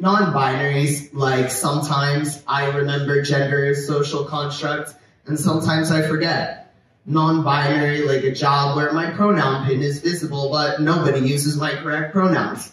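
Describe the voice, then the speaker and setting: A man's fairly high, monotone, flat voice, with audible room echo and noticeable background noise. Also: moderate pace. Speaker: poet. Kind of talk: poetry reading. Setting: stage at outdoor street festival.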